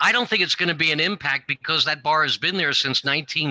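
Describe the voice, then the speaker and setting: The man's tone is bright and sharp, with a dry, close sound and no echo. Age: 60s. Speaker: building owner. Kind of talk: public hearing testimony. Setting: council meeting with microphone. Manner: halting.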